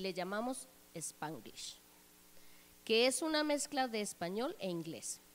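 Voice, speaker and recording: A woman in a normal speaking voice talks at a fairly slow pace, fairly high in pitch, with lively intonation. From Colombia, Bogotá. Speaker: church member giving testimony. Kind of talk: testimony. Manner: formal.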